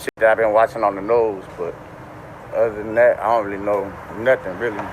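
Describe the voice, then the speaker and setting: A man with a New Orleans accent talks at a fairly quick pace in a fairly low pitch. Noticeable background noise sits behind him. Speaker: man just released from jail. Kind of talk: street interview.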